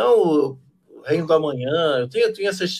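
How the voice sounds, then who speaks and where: This is a man speaking. His pitch is fairly high. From Brazil. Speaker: literature professor. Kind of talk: casual chat; casual discussion. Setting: video call. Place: home room. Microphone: video call.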